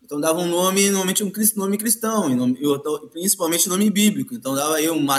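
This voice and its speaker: High in pitch, a man's voice moves along at a fairly quick pace. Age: 50s. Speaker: capoeira master. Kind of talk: casual interview.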